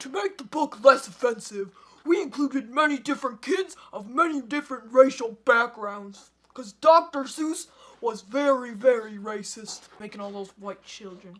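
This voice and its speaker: Spoken at a moderate pace, the voice sits at a high pitch. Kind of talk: bedtime story parody. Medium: comedy sketch. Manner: rhyming, sing-song with deadpan asides.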